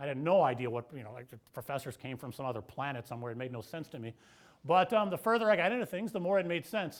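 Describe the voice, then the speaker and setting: A man talks at a very fast pace with a fairly high pitch and very wide pitch swings. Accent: Midwestern American. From US Midwest, St. Louis. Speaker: professor. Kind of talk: keynote lecture. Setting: lecture hall with audience. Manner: loud; casual, with fillers.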